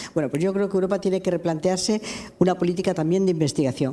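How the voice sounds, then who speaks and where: There is noticeable background noise behind a woman speaking. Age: 80s+. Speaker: lawyer and human rights activist. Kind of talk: public interview. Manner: halting.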